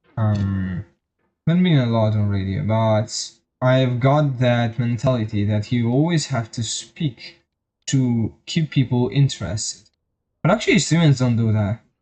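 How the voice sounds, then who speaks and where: At a medium pitch, a man speaks fairly slowly with a dark, mellow, somewhat breathy tone and ordinary pitch variation. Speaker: vtuber streamer. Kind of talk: casual gaming stream chat. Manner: halting.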